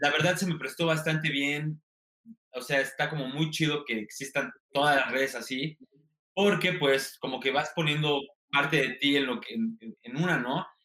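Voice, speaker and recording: With a Mexican accent, a man talks at a moderate pace in a fairly high pitch, his pitch varying in an ordinary way. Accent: regional sing-song Mexican. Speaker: TikTok comedian and content creator. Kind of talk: interview. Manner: sing-song intonation.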